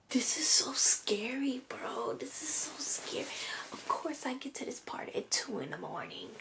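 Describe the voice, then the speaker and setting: Someone is whispering. The pace is fairly slow. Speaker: book vlogger. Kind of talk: casual vlog commentary. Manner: animated.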